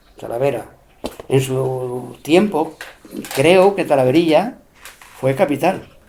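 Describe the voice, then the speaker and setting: A man's fairly high voice in an Extremaduran accent, with noticeable background noise. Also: long, frequent pauses. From Spain, Extremadura (Cáceres). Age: 70s. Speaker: elderly local interviewee recalling rural life. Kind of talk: oral history interview.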